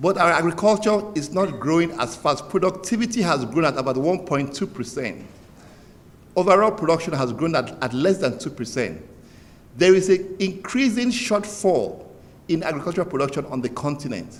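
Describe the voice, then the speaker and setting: Amid audible room echo, a man with a high pitch and lively intonation speaks at a moderate pace. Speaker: development bank director. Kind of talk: formal speech. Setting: conference opening ceremony. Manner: soft-spoken.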